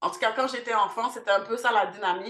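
The tone is bright and sharp. A woman's voice carries it at a fairly high pitch. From Montreal, Quebec. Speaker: cultural centre founder. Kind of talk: interview.

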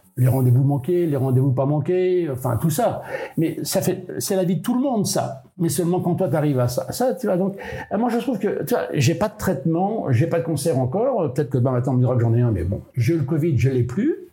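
Over noticeable background noise, a man with a fairly high pitch talks at a fairly quick pace, his pitch swinging very widely. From Brittany, France (Molène island, Finistère). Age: 70s. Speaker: solo sailor. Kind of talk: casual interview. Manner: colloquial, hesitant with repetitions.

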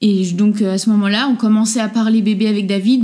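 This woman's voice is somewhat breathy, with a dark, mellow tone. She keeps a moderate pace and fairly even intonation. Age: 30s. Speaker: children's accessories designer, former nurse. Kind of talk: interview testimony. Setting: at home, in person.

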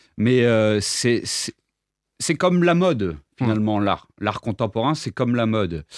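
The recording is very clean, with a silent background and a dry, close sound with no echo. A man at medium pitch talks with very wide pitch swings. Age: 20s. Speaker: visual artist and sculptor. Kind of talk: interview. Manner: hesitant, many fillers and repetitions.

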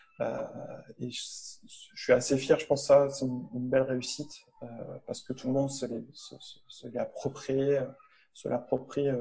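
A man talks at a fairly slow pace, leaving long, frequent pauses. His loudness swings widely. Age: 40s. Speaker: medical physicist and company founder. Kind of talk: interview. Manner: halting.

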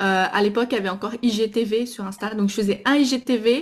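A woman with a slight Brazilian accent speaks at a fairly slow pace in a somewhat breathy, fairly high-pitched voice, in a very clean recording with a silent background. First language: Portuguese (speaking French). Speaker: Instagram stories coach. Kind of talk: podcast interview. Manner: hesitant, with fillers.

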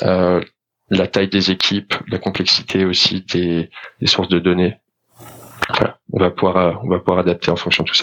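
Fairly slow, monotone speech with flat intonation and very even loudness. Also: man, very deep, low pitch for a man. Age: 30s. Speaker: startup founder. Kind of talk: interview.

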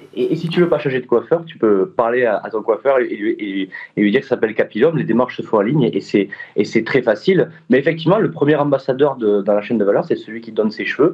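A man speaks at a very fast pace in a southern French accent. His intonation is lively. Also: medium pitch for a man. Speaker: startup founder. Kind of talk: interview. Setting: video call. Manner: hesitant, many fillers.

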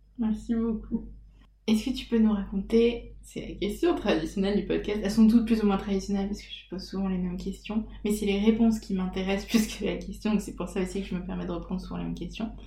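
With audible room echo, a woman talks at a very fast pace, her loudness swinging widely. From French provinces. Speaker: podcast host. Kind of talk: casual interview. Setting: at home.

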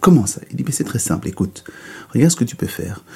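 A man's dark, mellow, somewhat breathy voice with very wide pitch swings. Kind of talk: bedtime story telling, a folktale told aloud. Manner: dwells on the donkey's comic flaws with playful, wry emphasis.

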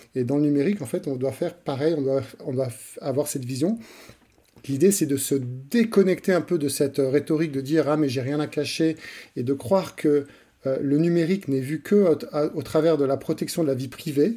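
Speaking at a moderate pace, this man has a fairly high pitch and a dark, mellow tone. He leaves long, frequent pauses. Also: ordinary pitch variation. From France and Switzerland. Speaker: author, digital rights advocate. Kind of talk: interview. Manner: halting, many repetitions.

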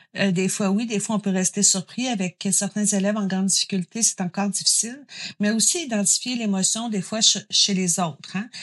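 Somewhat breathy and at a medium pitch, a woman speaks at a moderate pace with ordinary pitch variation in a dry, close sound with no echo. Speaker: psychoeducator. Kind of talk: interview.

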